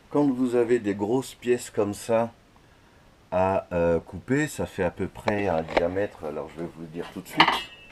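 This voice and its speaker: A man talks with ordinary pitch variation while noticeable background noise runs underneath. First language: Dutch (speaking French). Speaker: hobbyist metalworker. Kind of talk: video complaint monologue. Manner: hesitant, many fillers.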